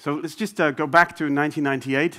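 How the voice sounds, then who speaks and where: A fairly high-pitched man with a Dutch accent. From Netherlands, Amsterdam. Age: 40s. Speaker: business executive. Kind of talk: conference talk. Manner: hesitant, many fillers.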